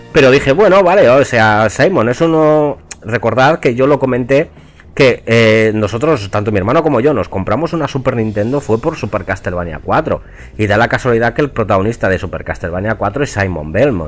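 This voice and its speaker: At a fairly quick pace, a man speaks with a medium pitch and lively intonation. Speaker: gaming youtuber. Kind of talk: video game review monologue. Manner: casual, with hesitations.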